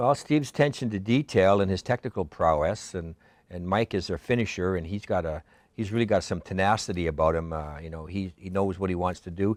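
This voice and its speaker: A man speaks at a fairly quick pace in a very deep, low voice, recorded very cleanly against a silent background with a dry, close sound and no echo. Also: ordinary pitch variation. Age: 60s. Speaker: college instructor, former community TV producer. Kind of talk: casual interview. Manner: halting.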